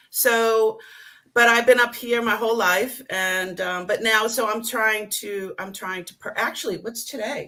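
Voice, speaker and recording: Slow-paced and fairly high-pitched, a woman with a Boston accent speaks in a bright, sharp tone with fairly even intonation. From Boston area, South Boston. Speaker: reseller guest on live show. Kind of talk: casual chat.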